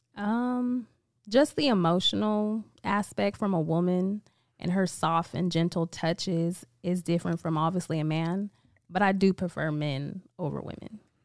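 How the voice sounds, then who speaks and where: An ordinary speaking voice with an American accent moves at a moderate pace with ordinary pitch variation, in a very clean recording with a silent background. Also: woman, medium pitch for a woman. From Vallejo, California. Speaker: small business owner. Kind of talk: casual chat.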